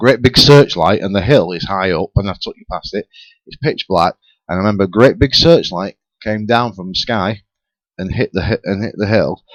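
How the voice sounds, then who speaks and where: Talking at a fairly quick pace with a Lancashire accent, a man has a fairly low pitch and ordinary pitch variation in a dry, close sound with no echo. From northern England, Rossendale, Lancashire. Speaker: paranormal talk show panelist. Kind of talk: casual chat. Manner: halting.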